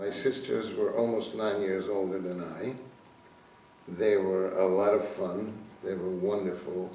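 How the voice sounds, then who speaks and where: Through audible room echo and noticeable background noise, a man with a fairly low pitch speaks at a fairly slow pace with fairly even intonation. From Slovakia. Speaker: Holocaust survivor. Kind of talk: testimony.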